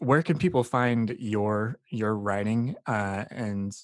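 A man talks in a normal speaking voice that sits fairly low in pitch and varies in an ordinary way. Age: 30s. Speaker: podcast host. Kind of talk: interview.

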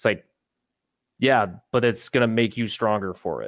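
Medium-pitched man at a moderate pace, with a dry, close sound, no echo, and a very clean recording with a silent background. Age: 30s. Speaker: bitcoin magazine writer. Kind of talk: casual chat. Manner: animated.

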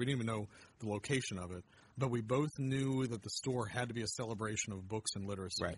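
A man with an American accent, somewhat breathy, at a very fast pace and medium pitch, with ordinary pitch variation. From Pennsylvania (Erie). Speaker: literacy nonprofit director. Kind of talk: interview. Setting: bookstore. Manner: halting.

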